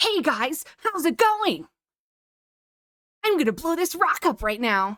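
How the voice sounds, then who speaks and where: This is a cartoonish character voice with an extremely high pitch and an American accent. Its pitch swings are very wide. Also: fairly slow pace. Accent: American anime dub. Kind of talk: exaggerated, cartoonish. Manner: overly enthusiastic, silly.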